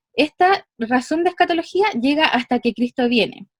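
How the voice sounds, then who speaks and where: Recorded dry and close with no echo, a woman speaks in a high pitch with lively intonation. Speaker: church member giving study summary. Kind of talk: lecture. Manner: fast.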